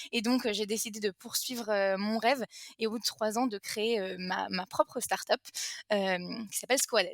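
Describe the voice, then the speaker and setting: A woman's fairly high voice at a moderate pace, in a dry, close sound with no echo. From France. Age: 20s. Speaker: entrepreneur. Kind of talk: interview. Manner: halting, many fillers.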